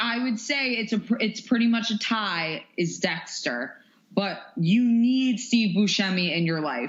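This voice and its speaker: There is noticeable background noise as a woman speaks at a fairly slow pace with lively intonation. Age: 20s. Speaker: fitness instructor. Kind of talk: casual interview. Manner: animated.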